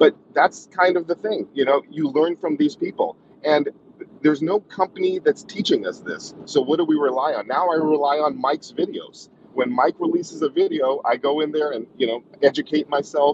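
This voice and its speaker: Over noticeable background noise, a man speaks at a moderate pace with a dry sound with no echo. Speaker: guest. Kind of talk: panel discussion talk. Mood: appreciative, relaxed. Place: car. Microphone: video call.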